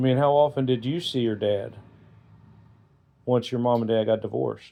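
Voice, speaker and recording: A man with an ordinary speaking voice, medium pitch, fairly even intonation and a moderate pace. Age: 60s. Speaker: family interviewer. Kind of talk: casual family chat.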